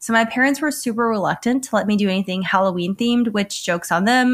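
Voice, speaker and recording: A woman with an American accent talks very fast with lively intonation on a very clean recording with a silent background. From US South. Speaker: podcast host and filmmaker. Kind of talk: casual chat.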